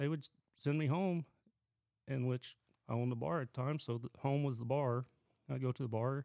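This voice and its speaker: With an Oklahoma accent, a man speaks at a medium pitch and moderate pace with a dark, mellow tone, fairly even intonation and long, frequent pauses, the sound dry and close with no echo. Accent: Oklahoma rural Southern US. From southwest Oklahoma. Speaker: Marine Corps veteran. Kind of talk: casual chat.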